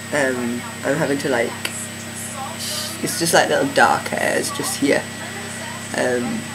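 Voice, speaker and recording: Noticeable background noise and audible room echo around a man talking at a moderate pace. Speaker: video blogger. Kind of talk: vlog update. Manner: hesitant, many fillers.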